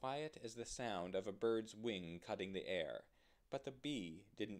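An unforced reading voice, its intonation lively

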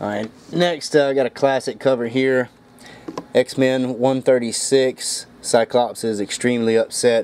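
Fairly even in intonation, this man's delivery proceeds at a fairly slow pace. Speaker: comic collector. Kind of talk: casual vlog chat. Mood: joking, amused. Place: home room. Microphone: phone near.

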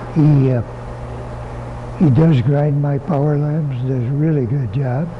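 A soft-spoken man talks at a fairly slow pace with fairly even intonation. His pitch is fairly high, and light background noise is present. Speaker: bow hunter and bow company owner. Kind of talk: interview answer. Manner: soft-spoken, easy-going. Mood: easy-going, soft-spoken.

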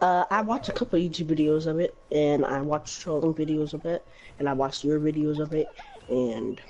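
Noticeable background noise runs under speech whose pitch varies in an ordinary way. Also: woman, very deep, low pitch for a woman, fairly quick pace. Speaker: fellow gamer. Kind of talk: casual chat.

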